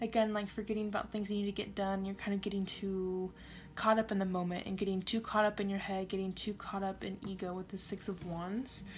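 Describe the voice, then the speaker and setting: Somewhat breathy and medium in pitch, a woman speaks at a fairly quick pace with monotone, flat intonation. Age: 20s. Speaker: tarot reader. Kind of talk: tarot reading to camera. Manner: casual, conversational.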